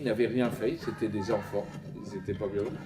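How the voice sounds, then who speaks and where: A man's medium-pitched voice with ordinary pitch variation, over noticeable background noise. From France, Paris. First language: Yiddish (speaking French). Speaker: Holocaust survivor giving testimony. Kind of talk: testimony. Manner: halting, with frequent hesitations.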